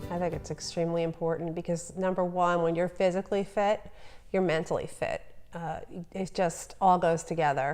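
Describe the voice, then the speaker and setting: Fairly quick speech from a woman with a New Jersey accent, fairly low in pitch. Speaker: entrepreneur, business owner. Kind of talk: interview answer.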